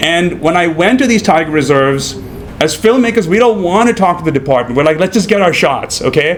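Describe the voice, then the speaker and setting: A man with an American accent talks at a high pitch and fairly quick pace with lively intonation, over noticeable background noise. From India, Mumbai. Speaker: documentary filmmaker. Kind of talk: panel discussion at film screening. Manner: halting, many fillers and repeats.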